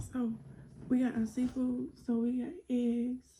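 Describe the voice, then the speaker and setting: The voice is soft-spoken with a dark, mellow tone. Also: woman. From South Carolina. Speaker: YouTuber. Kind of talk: mukbang Q&A, casual chat. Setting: eating on camera. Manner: soft-spoken, quiet.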